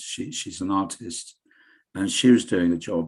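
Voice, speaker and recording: In an English accent, a man talks at a moderate pace and a fairly low pitch against a quiet background. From England. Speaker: local radio presenter. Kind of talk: interview.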